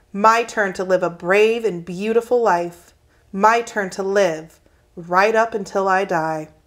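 It is plain reading aloud.

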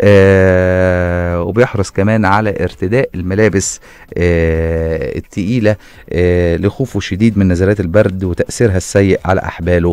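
A man with an Egyptian accent, very deep and low in pitch, at a fairly slow pace with fairly even intonation, in a dry sound with no echo. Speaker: radio host. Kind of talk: radio segment, casual. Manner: halting, many fillers. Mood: playful, amused, laughing. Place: studio. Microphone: studio mic.

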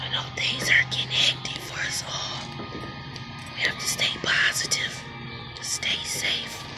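Clear music plays behind a woman who speaks at a very slow pace. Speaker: vlogger. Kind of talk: casual vlog chat. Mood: warm, calm. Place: garden. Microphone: phone near.

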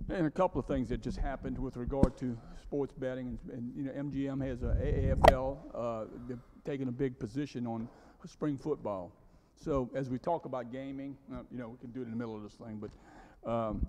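The man talks at a moderate pace. Noticeable background noise runs under his voice. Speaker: city official giving report. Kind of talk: meeting report. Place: meeting room.

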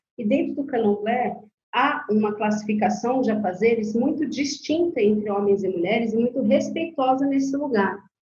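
Audible room echo surrounds a woman with a dark, mellow tone. She talks at a fairly high pitch and a moderate pace, with ordinary pitch variation. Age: 40s. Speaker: Candomblé priestess. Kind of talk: casual interview.

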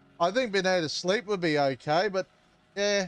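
Over a quiet background, a man speaks with an Australian accent. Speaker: gaming streamer. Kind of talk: live gameplay commentary. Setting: live stream. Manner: casual, rambling with fillers.

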